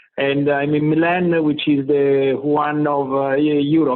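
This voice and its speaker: A man speaks with an Italian accent. His fairly high voice holds a monotone, flat intonation. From Italy. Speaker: tech company CEO. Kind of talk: interview. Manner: halting, many fillers.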